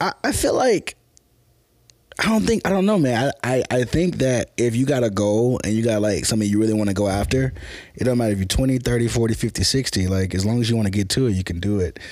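With an American accent, a man talks in an unremarkable speaking voice at medium pitch, keeping ordinary pitch variation, very even loudness and a fairly quick pace. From US South, Memphis, Tennessee. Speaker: filmmaker. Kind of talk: casual chat.

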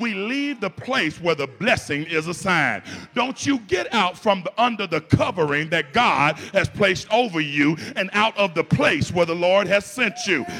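Over music in the background, a man speaks in a raised, projected voice at a high pitch. His tone is animated and his intonation lively, with hardly any pauses. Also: moderate pace. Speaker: pastor. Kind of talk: sermon; preacher in full flow, call-and-response with a congregation. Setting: church with congregation. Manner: animated, exhorting the congregation; conversational, humorous, colloquial.

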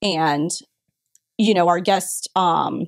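A woman's medium-pitched voice with an American accent, ordinary pitch variation, vocal fry, and a dry, close sound with no echo. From Florida (Brandon, near Tampa). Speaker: retail marketing executive. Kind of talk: interview.

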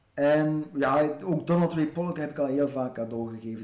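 In a room with audible echo, a man's dark, mellow voice moves at a fairly slow pace with ordinary pitch variation. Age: 40s. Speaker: author and book critic. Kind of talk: casual interview. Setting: garden shed.

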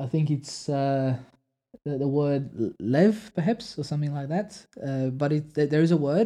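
At a fairly slow pace, a man speaks in a fairly high pitch with lively intonation. His tone is dark and mellow. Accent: Polish. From Poland. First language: Polish. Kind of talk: casual chat about theology.

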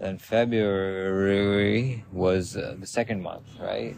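A man speaks loudly in a fairly low pitch. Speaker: podcast host. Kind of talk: casual monologue. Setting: outdoors in a park. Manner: rambling with fillers.

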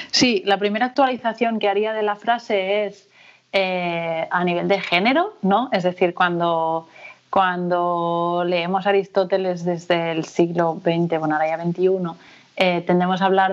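A woman speaks at a fairly slow pace in a medium pitch. Her intonation stays fairly even. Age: 30s. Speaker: sociologist and researcher. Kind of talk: interview conversation. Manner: hesitant, with many fillers and repetitions.

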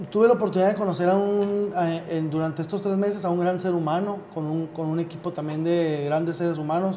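Amid noticeable background noise and audible room echo, a man with a high voice speaks at a fairly quick pace with fairly even intonation. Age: 30s. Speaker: youth political party leader. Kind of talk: interview. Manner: halting, many repetitions.

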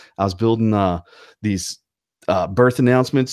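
Over a very clean recording with a silent background, a man talks at a moderate pace with a slight Southern US accent. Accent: slight Southern twang. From North Carolina. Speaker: podcast co-host. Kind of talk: casual chat.

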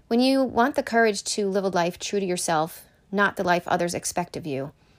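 In an American accent, a woman with medium pitch uses lively intonation and an ordinary speaking voice at a moderate pace, on a very clean recording with a silent background. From Connecticut, then Pennsylvania from age eight. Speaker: podcast host. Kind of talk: solo motivational talk.

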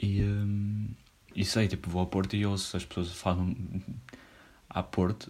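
This man's voice is somewhat breathy, with a relaxed tone. His intonation stays fairly even. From northern Portugal. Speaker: podcaster. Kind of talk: casual solo monologue. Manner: relaxed, slangy with many fillers.

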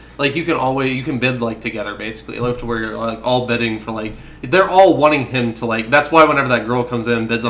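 A man speaks very fast at a medium pitch with fairly even intonation. Audible room echo surrounds the voice. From Arkansas. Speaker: film podcast co-host. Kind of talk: casual chat.

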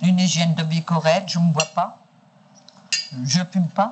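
A woman talks at a fairly slow pace. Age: 60s. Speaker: sex worker. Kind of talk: archival interview recording.

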